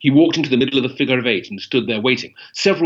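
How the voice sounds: The intonation stays lively. It is a natural reading voice.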